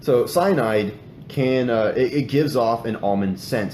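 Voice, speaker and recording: A man talks at a moderate pace with lively intonation. Noticeable background noise and audible room echo come through. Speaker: true crime podcast host. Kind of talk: casual podcast narration of a case. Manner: halting, many fillers and restarts.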